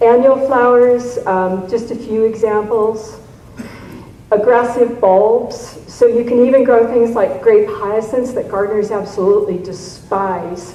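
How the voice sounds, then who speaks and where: A woman's fairly high voice at a fairly slow pace with fairly even intonation, plus audible room echo and noticeable background noise. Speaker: garden writer and convention speaker. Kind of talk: lecture.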